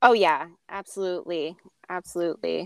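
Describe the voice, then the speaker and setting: A woman's medium-pitched, unremarkable speaking voice at a moderate pace, with fairly even intonation, dry and close with no echo, on a very clean recording with a silent background. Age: 30s. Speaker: podcast co-host, counseling grad student. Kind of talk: casual chat.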